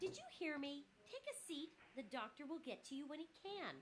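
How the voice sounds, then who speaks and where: Against clear background noise, a woman puts on a squeaky character voice, high in pitch, at a moderate pace with lively intonation. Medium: video game. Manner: curt, impatient.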